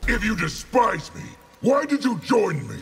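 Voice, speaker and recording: A man's growling, put-on character voice at an extremely high pitch, very wide pitch swings, and a moderate pace. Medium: short film. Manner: commanding, threatening.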